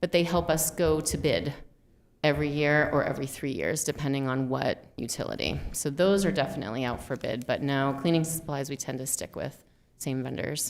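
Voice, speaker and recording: A woman speaks with a very deep, low pitch and vocal fry. Her pitch variation is ordinary. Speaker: school finance official. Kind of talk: budget presentation at meeting.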